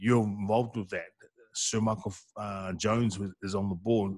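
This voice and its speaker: Against a quiet background, a man with a plain, everyday voice speaks at a fairly low pitch and a moderate pace, with fairly even intonation and a dry sound with no echo. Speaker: radio sports show host. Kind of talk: casual interview. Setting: radio studio. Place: studio. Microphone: studio mic.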